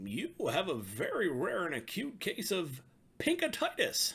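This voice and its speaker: Here a man does a put-on character voice, high in pitch and fairly slow. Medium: read story. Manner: formal, measured.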